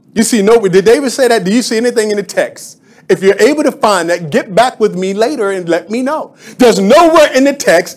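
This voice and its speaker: At a moderate pace, a man talks in an animated tone with lively intonation over noticeable background noise. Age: 50s. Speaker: pastor. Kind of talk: Sunday sermon, call-and-response preaching to a congregation. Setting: church. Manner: animated, rhythmic preaching cadence with repetitions; exhorting congregation, prompting amens.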